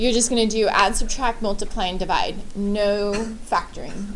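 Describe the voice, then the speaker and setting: A woman's fairly high voice with ordinary pitch variation at a moderate pace, with audible room echo. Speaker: high school math teacher. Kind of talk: classroom lecture. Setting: classroom with students.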